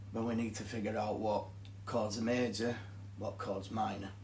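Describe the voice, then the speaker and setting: Somewhat breathy and carrying a strong Yorkshire accent, the voice moves at a fairly slow pace against audible room echo. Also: man. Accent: thick Yorkshire. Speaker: guitar teacher. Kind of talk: tutorial.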